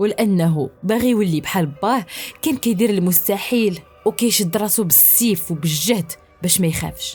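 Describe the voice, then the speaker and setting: Music plays in the background as a woman speaks in a Moroccan accent. She keeps a moderate pace with ordinary pitch variation. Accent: Moroccan Arabic (Darija). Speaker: storyteller. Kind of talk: horror story narration.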